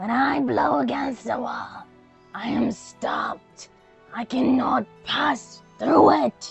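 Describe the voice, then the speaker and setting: A put-on character voice, growling at a fairly high pitch and a very slow pace, over faint music in the background. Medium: read story. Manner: kindly, calm.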